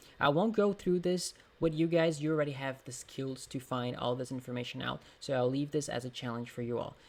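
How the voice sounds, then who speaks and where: This man's fairly high voice moves at a fairly quick pace with ordinary pitch variation. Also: hardly any pauses. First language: Portuguese. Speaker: exam prep tutor. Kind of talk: tutorial; casual chat. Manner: halting.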